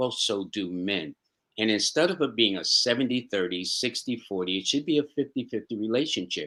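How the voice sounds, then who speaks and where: Lively intonation and a bright, sharp tone mark this voice with a New York accent. The recording is very clean, with a silent background. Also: man. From New York City. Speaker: astro-numerologist. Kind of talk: interview answer. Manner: warm, upbeat.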